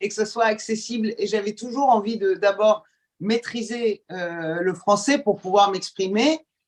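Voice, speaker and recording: Speaking fairly slowly, a woman has a fairly high pitch with ordinary pitch variation. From Iran, moved to France at age ten. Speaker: journalist and TV presenter. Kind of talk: podcast interview. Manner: hesitant, many fillers.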